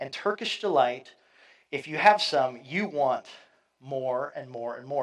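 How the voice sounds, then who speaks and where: On a very clean recording with a silent background, a man speaks. His pace is moderate and his pitch varies in an ordinary way. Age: 50s. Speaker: pastor. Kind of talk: sermon. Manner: halting.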